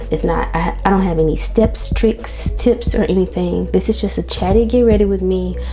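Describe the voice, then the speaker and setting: With music in the background and audible room echo, a woman talks at a moderate pace with hardly any pauses. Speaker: beauty vlogger and mom. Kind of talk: casual chat. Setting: home bathroom. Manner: soft-spoken.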